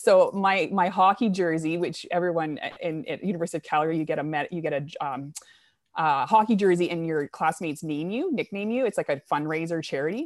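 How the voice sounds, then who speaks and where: Speaking at a fairly quick pace, a woman with a Canadian accent has a plain, everyday voice, a fairly low pitch and ordinary pitch variation. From Canada, New Brunswick. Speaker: orthopedic surgeon. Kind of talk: interview. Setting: remote call.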